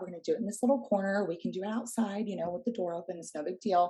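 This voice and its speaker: A woman talks at a medium pitch. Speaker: high school English and theater teacher. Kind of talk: professional development workshop presentation. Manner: fast.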